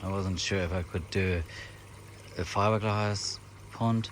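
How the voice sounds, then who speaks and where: A man with a very deep, low voice talks fairly slowly with fairly even intonation. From Germany. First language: German. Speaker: koi hobbyist vlogger. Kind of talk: casual vlog tour. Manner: hesitant, many fillers.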